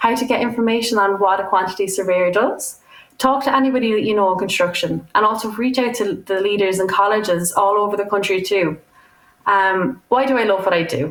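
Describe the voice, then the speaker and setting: With an Irish accent, a woman speaks at a fairly quick pace and medium pitch, with ordinary pitch variation and very even loudness. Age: 20s. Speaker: student quantity surveyor. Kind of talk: prerecorded talk.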